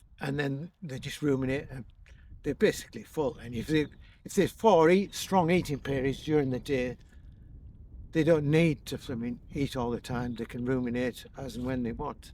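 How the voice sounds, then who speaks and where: The man's voice sits fairly high, with ordinary pitch variation at a moderate pace. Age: 60s. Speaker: farmer. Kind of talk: interview. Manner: halting.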